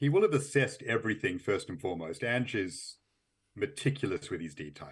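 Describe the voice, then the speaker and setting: With an Australian accent and vocal fry, the speaker goes at a fairly quick pace on a very clean recording with a silent background. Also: man. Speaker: football journalist. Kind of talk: interview.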